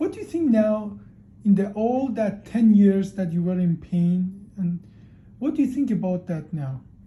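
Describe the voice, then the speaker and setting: Lively in intonation, a man with a high pitch and a dark, mellow tone speaks at a fairly slow pace. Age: 50s. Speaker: spine surgeon. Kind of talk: doctor-patient interview.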